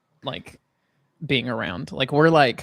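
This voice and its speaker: This man has a Southern US accent. He speaks at a moderate pace with ordinary pitch variation. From Alabama, Huntsville. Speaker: podcast co-host. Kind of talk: casual chat.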